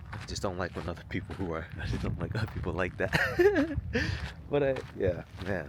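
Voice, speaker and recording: Against noticeable background noise, a man talks at a fairly quick pace with a very deep, low pitch. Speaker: vlogger and author. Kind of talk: casual vlog monologue. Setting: outdoors on a hike. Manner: loud.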